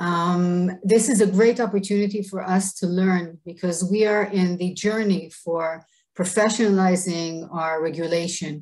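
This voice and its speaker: A woman with an Israeli accent talks at a medium pitch and a fairly slow pace, with hardly any pauses. Her intonation is fairly even, in a very clean recording with a silent background. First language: Hebrew. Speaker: government official. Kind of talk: presentation. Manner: halting.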